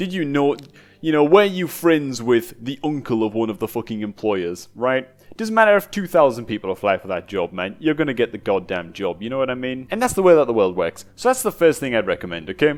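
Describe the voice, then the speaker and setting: This man talks at a fairly quick pace in a northeast English accent. His tone is animated, with very wide pitch swings. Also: medium pitch for a man. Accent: northeast English (Geordie-type). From northeast England. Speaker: gaming youtuber. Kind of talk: casual chat.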